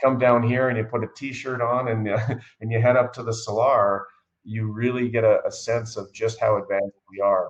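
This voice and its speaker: A somewhat breathy man's voice at medium pitch, monotone and flat in intonation. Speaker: mining company CEO. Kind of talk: interview. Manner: fast.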